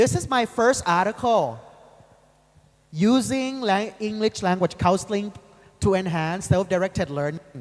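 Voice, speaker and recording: With a northeastern Thai accent, a man speaks at a fairly slow pace in a high pitch and lively intonation, leaving long, frequent pauses. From Thailand, Ubon Ratchathani (Isan region). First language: Isan. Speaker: university lecturer. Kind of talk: lecture.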